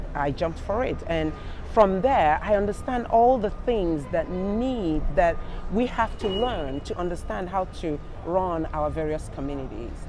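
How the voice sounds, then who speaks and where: A woman with a Nigerian accent at medium pitch, fairly slow with lively intonation, amid noticeable background noise and audible room echo. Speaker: senior living executive. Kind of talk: panel interview. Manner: halting.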